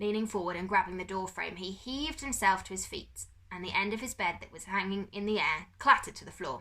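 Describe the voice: The passage is plain reading aloud with ordinary pitch variation.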